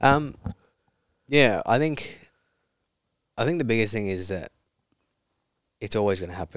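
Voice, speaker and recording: A man's fairly low voice with lively intonation and long, frequent pauses. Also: moderate pace. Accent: Australian. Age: 20s. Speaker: psychology student in addiction recovery. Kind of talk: interview about personal story.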